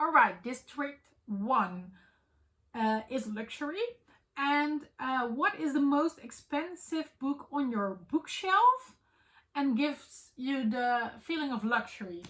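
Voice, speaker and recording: With a Dutch accent, a woman speaks very slowly in a high pitch, her intonation lively. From Netherlands. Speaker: book vlogger. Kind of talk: casual vlog chat. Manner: halting with many fillers.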